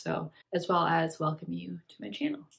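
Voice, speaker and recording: An ordinary speaking voice, a woman's, fairly low in pitch, with fairly even intonation at a moderate pace. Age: 20s. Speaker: lifestyle vlogger. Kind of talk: casual talk to camera. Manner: reflective.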